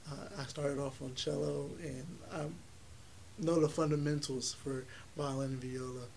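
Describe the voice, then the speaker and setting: With noticeable background noise and audible room echo, a man speaks at a fairly high pitch with ordinary pitch variation. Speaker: college music student and festival founder. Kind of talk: interview.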